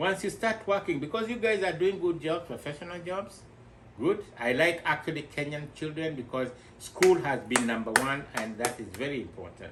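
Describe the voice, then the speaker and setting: Noticeable background noise sits behind a man's fairly high voice. He speaks at a moderate pace with lively intonation. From Kenya, Nairobi. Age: 60s. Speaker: returnee investor. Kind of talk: interview.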